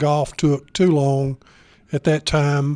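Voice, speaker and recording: The recording is very clean with a silent background as a man with a Southern US accent speaks at a fairly high pitch. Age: 70s. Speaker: retired bank executive. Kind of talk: interview. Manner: halting, many fillers.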